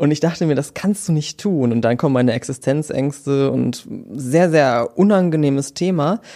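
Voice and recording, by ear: Dark and mellow in tone, a man's voice sits fairly high in pitch at a moderate pace.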